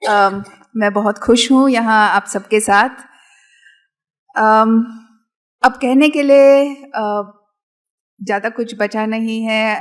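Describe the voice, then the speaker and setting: Long, frequent pauses break up the speech. The intonation is fairly even. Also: woman, fairly high pitch for a woman. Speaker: professor, speaker at event. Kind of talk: public talk. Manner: hesitant, many fillers.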